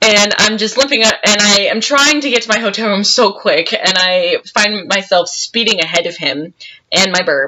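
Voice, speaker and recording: Here a woman is speaking. Her pace is moderate and her intonation lively. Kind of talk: casual storytelling to camera. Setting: home recording, poor audio. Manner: loud, projecting.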